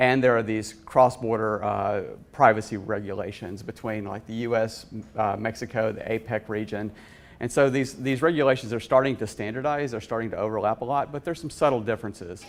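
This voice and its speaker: Speaking with a Southern US accent, a man keeps his intonation fairly even. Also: medium pitch for a man, fairly quick pace. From US South. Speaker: conference speaker, VP of engineering. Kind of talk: conference talk. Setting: conference stage with audience.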